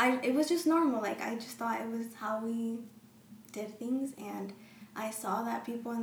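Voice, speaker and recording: A woman speaks at a moderate pace in a fairly high voice, with ordinary pitch variation. Noticeable background noise runs under her. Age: young. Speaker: college student and pastor's kid. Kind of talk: casual chat. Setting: studio.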